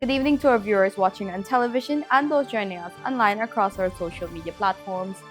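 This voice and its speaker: A woman speaks very fast at medium pitch, with big swings in loudness. Music plays in the background. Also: lively intonation, hardly any pauses. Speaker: television news anchor. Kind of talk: TV newscast headlines read.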